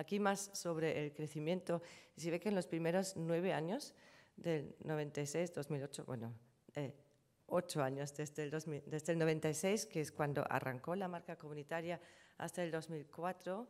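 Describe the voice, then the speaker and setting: This woman talks at a moderate pace with a German accent. Her pitch is fairly low with ordinary variation, over a quiet background. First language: German (speaking Spanish). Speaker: conference panelist on trademark law; conference presenter. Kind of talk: conference presentation; lecture. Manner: hesitant, many fillers. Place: hall. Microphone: podium.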